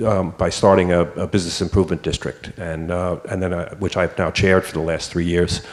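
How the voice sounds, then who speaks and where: Very deep and low in pitch, a man with an American accent speaks at a fairly quick pace with fairly even intonation. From New York City, the Bronx. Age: 60s. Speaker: small business owner. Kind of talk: panel discussion. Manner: halting, many fillers.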